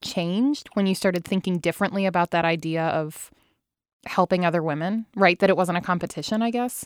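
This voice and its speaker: Recorded very cleanly with a silent background and a dry, close sound with no echo, a woman with an unremarkable speaking voice talks at a fairly quick pace in a medium pitch. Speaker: podcast host. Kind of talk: casual chat. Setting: studio.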